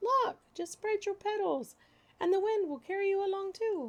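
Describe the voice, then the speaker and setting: This is a put-on character voice with a squeaky sound. It moves at a moderate pace. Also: woman, extremely high pitch for a woman. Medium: read story. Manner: bubbly, excitable.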